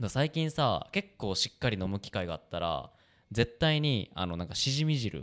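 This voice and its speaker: The voice sounds animated, with very wide pitch swings, captured in a very clean recording with a silent background. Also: man, medium pitch for a man, moderate pace. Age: 20s. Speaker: band musician and podcast host. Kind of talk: casual chat.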